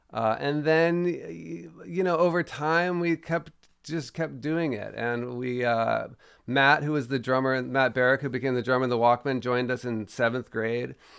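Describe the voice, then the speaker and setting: In an American accent, a man talks at a moderate pace. His pitch is medium, with ordinary variation. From Washington DC. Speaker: musician. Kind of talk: interview. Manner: halting.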